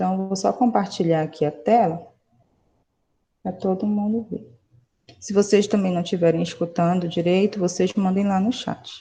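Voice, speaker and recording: Her voice is dark and mellow, somewhat breathy, with fairly even intonation. The woman keeps a moderate pace broken by long, frequent pauses. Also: medium pitch for a woman. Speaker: high school chemistry teacher. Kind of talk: online lecture.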